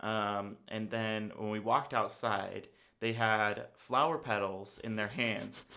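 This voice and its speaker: A man with an American accent speaks loudly at a very slow pace, his pitch fairly low and his tone bright and sharp. The recording is very clean, with a silent background. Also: fairly even intonation. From United States. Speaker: podcast co-host. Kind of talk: casual chat.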